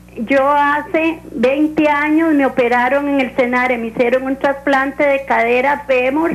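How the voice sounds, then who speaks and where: A woman speaks at a fairly slow pace in a high pitch, with hardly any pauses. Her intonation is monotone and flat, and there is noticeable background noise. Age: 70s. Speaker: caller. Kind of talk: call-in question.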